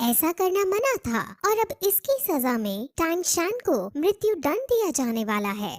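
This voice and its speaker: A woman performs a cartoonish character voice at an extremely high pitch. She keeps a moderate pace with very wide pitch swings. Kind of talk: anime episode recap narration. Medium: read story. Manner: explanatory, steady.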